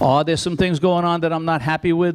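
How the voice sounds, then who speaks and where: A man with a Long Island accent talks at a fairly quick pace, his pitch fairly high. Noticeable background noise runs under his voice. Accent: Long Island New York. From Long Island, New York. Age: 70s. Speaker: retired fire chief. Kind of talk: public comment at town meeting. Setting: town board meeting.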